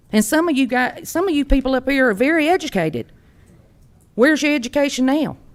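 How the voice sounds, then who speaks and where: Over a silent background in a very clean recording, a speaker with a Georgia accent talks at a very fast pace with lively intonation. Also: woman, high pitch for a woman. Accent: US Southern (Georgia). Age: 60s. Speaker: resident speaking at public comment. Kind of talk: public comment at county meeting. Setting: county commission meeting.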